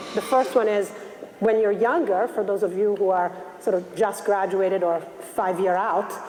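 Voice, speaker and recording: Speaking at a moderate pace with an Italian accent, a woman of medium pitch keeps fairly even intonation and very even loudness over noticeable background noise. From Italy, Milan. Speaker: investment banker. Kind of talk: motivational talk.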